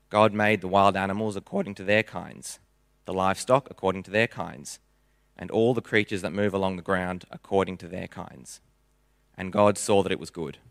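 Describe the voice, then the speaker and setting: A man with a plain, everyday voice and a fairly low pitch speaks with fairly even intonation, recorded with a dry, close sound with no echo and a very clean, silent background. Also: fairly quick pace. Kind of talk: scripture reading aloud. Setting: church.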